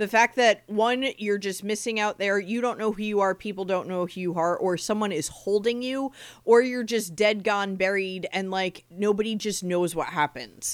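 A woman with an American accent speaks in an unremarkable speaking voice at medium pitch, with ordinary pitch variation. She keeps a moderate pace with hardly any pauses, and the recording is very clean with a silent background. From New Jersey, Monmouth County. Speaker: podcast co-host. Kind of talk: casual chat.

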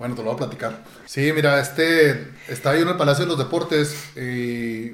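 A man with a Mexican accent speaks at a fairly high pitch with ordinary pitch variation. Noticeable background noise runs through the clip. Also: moderate pace. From Mexico. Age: 40s. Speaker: ultramarathon runner. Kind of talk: interview. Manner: halting, repeats words.

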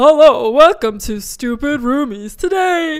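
Someone uses a put-on character voice, high in pitch, at a fairly slow pace. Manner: put-on announcer delivery.

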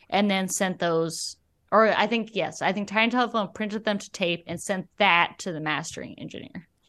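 A woman speaks at a moderate pace with a medium pitch and a bright, sharp tone. Her intonation is fairly even, her loudness swings widely, and the background is quiet. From Alabama. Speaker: musician. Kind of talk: casual interview.

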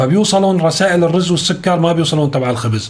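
Over noticeable background noise and audible room echo, a man talks at a fairly quick pace, his pitch fairly high and its variation ordinary. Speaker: news commentator. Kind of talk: news commentary monologue.

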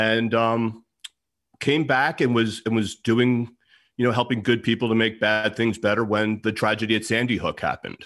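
The recording is very clean, the background silent. A plain, everyday voice with an American accent moves at a fairly quick pace. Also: man. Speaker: security expert and author. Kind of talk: interview.

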